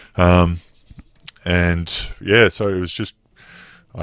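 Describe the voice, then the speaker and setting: A man's very deep, low voice in an Australian accent, with fairly even intonation. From Melbourne, Australia. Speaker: former professional basketball player. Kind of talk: interview.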